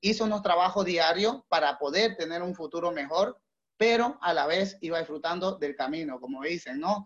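A man talks with a moderate pace. His voice sits high in pitch. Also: ordinary pitch variation. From Bolivia. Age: 30s. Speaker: entrepreneur. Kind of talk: motivational talk. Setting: call.

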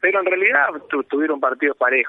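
A man's voice at fairly high pitch. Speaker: padel tournament organizer. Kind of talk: radio phone interview. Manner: halting, repetitive.

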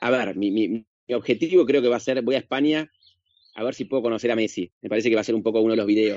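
Here a man speaks at a very fast pace. His pitch varies in an ordinary way. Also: medium pitch for a man. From Argentina. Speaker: actor and social media comedian. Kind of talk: casual interview chat. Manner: halting, many fillers and repetitions.

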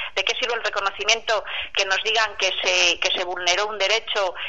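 An unremarkable speaking voice from a woman, medium in pitch, with fairly even intonation. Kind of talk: testimony. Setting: phone call.

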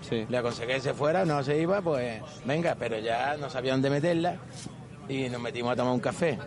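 Amid noticeable background noise, a man talks very fast at a medium pitch with ordinary pitch variation. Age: 50s. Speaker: taxi driver. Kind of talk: casual chat.

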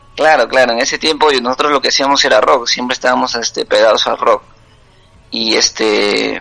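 Noticeable noise fills the background. Over it, a man speaks fairly quickly. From Peru, Huancabamba (Piura highlands) and Lima. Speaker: singer-songwriter and cook. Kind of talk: casual interview. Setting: WhatsApp call.

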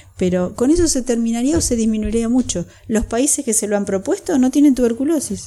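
With lively intonation and a dark, mellow tone, a woman talks at a fairly quick pace. She leaves hardly any pauses. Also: fairly high pitch for a woman. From Buenos Aires province, Argentina. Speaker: pulmonologist. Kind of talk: expert interview.

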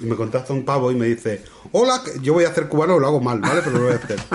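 The speaker talks at a very fast pace with ordinary pitch variation. Noticeable background noise sits behind the voice. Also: man. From Spain, La Mancha. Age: 40s. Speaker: podcast host. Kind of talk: casual chat.

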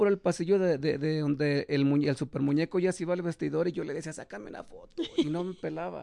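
A man's fairly high, dark and mellow voice, very fast, with ordinary pitch variation. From Mexico, León, Guanajuato. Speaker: professional wrestler. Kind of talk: casual interview. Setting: studio, streamed live.

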